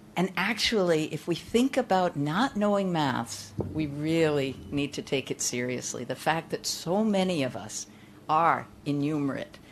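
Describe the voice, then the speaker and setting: A woman speaks with a very deep, low pitch. Her pitch swings very widely at a fairly slow pace. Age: 60s. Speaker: conference speaker. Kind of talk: keynote talk to a live audience. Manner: conversational, interacts with audience.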